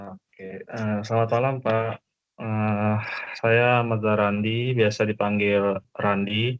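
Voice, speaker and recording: Delivered at a very slow pace, the speech has monotone, flat intonation. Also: man, fairly low pitch for a man. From Jakarta area, Indonesia. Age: 20s. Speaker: university student. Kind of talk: self-introduction in online class.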